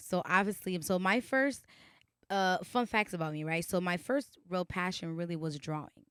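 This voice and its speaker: With a slight Haitian accent, a woman speaks at a moderate pace in an animated tone and a fairly low pitch, in a very clean recording with a silent background and a dry, close sound with no echo. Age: 20s. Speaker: singer. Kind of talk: interview.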